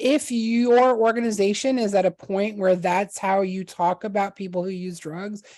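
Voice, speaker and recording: An ordinary speaking voice moves at a moderate pace with ordinary pitch variation against a quiet background. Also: woman. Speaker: harm reduction trainer. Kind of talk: presentation. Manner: casual with many fillers.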